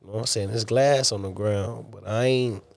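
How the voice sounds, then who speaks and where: A man speaks with an American accent and a normal speaking voice. His pitch is medium, with ordinary variation. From Texas. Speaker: military veteran and truck driver. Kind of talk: casual interview.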